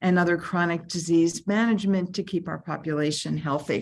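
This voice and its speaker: A woman talks at a medium pitch. The background is quiet. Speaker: state labor agency official. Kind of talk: panel presentation. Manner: fast.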